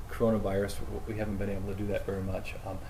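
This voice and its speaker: A man talks with audible room echo surrounding his words. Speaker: priest. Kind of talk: casual chat. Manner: loud.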